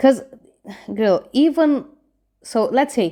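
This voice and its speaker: Speaking at a moderate pace with lively intonation, a woman with a non-native accent has a dark, mellow tone on a very clean recording with a silent background. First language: not English. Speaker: manifestation coach. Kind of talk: casual advice monologue. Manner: conversational, addresses viewer directly.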